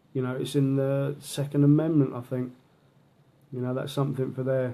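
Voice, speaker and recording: A man with a London accent speaks at a medium pitch in a monotone, flat intonation, his tone dark and mellow. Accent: Mockney, London-style English. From southern England, London/Portsmouth mix. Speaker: horror author. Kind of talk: casual live video chat. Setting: live video to an online group.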